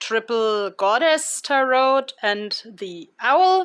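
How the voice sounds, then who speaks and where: With a German accent, a woman speaks at a fairly high pitch on a very clean recording with a silent background. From Germany. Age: 40s. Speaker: tarot reader. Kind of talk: tarot reading. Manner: halting, many fillers.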